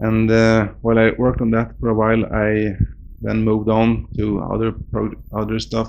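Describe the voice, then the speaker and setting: A man with a Swedish accent talks at a fairly slow pace. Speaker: game developer. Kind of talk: interview. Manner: halting.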